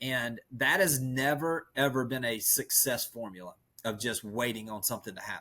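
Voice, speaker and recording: Heard in a very clean recording with a silent background, a man with a Southern US accent talks at a moderate pace and medium pitch. His tone is bright, sharp and animated, with ordinary pitch variation. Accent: Southern rural. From rural US South. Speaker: real estate coach. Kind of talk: podcast interview.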